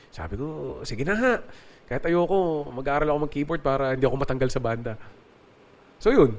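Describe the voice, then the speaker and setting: A man at a very fast pace with a fairly high pitch, ordinary pitch variation, and long, frequent pauses. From Philippines, Nasugbu, Batangas. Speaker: keyboardist and music producer. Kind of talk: interview conversation.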